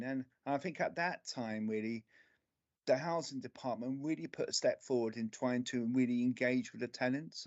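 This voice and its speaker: A man speaks with a strong London accent at a moderate pace. His voice sits at a medium pitch with ordinary pitch variation. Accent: London accent, still strong. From central London (Camden). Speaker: local councillor. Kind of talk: committee meeting remarks. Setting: remote video meeting.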